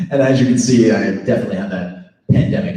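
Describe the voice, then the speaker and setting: Speaking very fast with an American accent, a man in a fairly low pitch makes very wide pitch swings in a room with audible echo. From New York, Long Island. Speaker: actor and event host. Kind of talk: emcee speech at live event.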